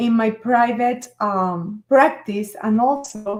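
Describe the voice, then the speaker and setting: Speaking very slowly in a Venezuelan accent, a woman with a fairly high pitch comes through on a very clean recording with a silent background. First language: Spanish. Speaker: author and NLP coach. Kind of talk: live stream talk. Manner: halting.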